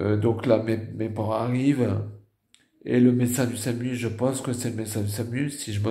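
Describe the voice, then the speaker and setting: A man with a slight northern French accent talks at a moderate pace and a medium pitch, with a dark, mellow tone. He is somewhat breathy and has a monotone, flat intonation, and audible room echo can be heard. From northern France. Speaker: stroke survivor vlogger. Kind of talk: personal testimony. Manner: halting.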